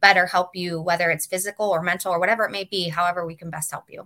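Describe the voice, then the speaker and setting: A woman with medium pitch and a bright, sharp tone speaks at a very fast pace in a monotone, flat intonation. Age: 40s. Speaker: wellness center owner. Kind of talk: interview.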